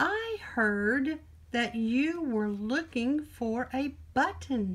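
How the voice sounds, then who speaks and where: Using a put-on character voice, a woman speaks at a very slow pace and a high pitch with lively intonation. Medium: read story. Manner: polite, friendly.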